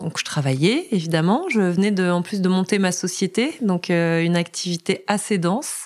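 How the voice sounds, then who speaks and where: A woman speaks at a moderate pace with hardly any pauses. Her pitch is medium and varies in an ordinary way. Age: 40s. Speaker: finance professional and bereaved mother. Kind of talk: personal testimony interview. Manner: fluent.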